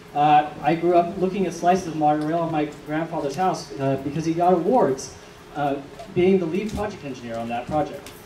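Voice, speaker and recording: A man with an American accent, fairly high in pitch with ordinary variation, at a fairly quick pace, with audible room echo and noticeable background noise. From Georgia, US South. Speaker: political candidate. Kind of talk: candidate forum speech.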